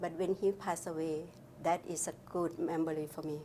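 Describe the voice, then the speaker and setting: A dark, mellow tone carries the speech along at a moderate pace. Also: woman. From Laos. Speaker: refugee oral history interviewee. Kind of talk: oral history interview. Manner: halting.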